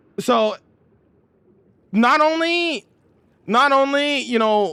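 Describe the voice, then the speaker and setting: Raising and projecting his voice, a man speaks with a bright, sharp tone and lively intonation. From Canada. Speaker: video game streamer. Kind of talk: live stream chat. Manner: loud; emphatic.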